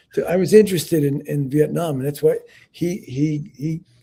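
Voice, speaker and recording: A man's somewhat breathy voice, fairly high in pitch, with a dark, mellow tone, ordinary pitch variation and a moderate pace. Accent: New York. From New York City. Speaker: Vietnam veteran and author. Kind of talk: interview. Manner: halting.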